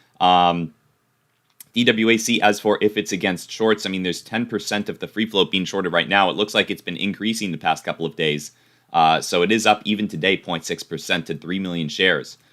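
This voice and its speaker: A man with a fairly low voice and a bright, sharp tone speaks at a fairly quick pace with fairly even intonation, recorded very cleanly against a silent background. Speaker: stock market streamer. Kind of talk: live stream chat. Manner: casual, halting.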